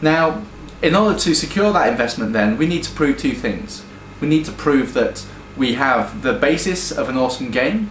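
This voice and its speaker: Over noticeable background noise and audible room echo, a man speaks at a moderate pace in a fairly high voice with very wide pitch swings. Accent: British. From UK. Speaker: game studio founder. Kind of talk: promotional pitch. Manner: hesitant with fillers.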